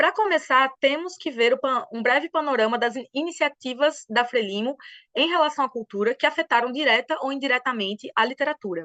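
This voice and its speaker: The voice has a bright, sharp tone and lively intonation, in a Brazilian accent. The sound is dry and close with no echo, over a quiet background. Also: woman. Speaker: historian, doctoral researcher. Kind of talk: academic webinar presentation. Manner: fast; animated.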